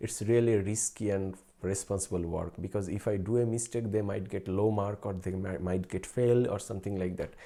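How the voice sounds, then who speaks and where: Speaking with a Bengali accent, a man uses a fairly low pitch and a dark, mellow tone at a moderate pace. His intonation is fairly even, and the recording is very clean with a silent background. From Bangladesh. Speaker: researcher and streamer. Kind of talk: casual live stream chat. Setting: late-night live stream. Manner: halting, with fillers.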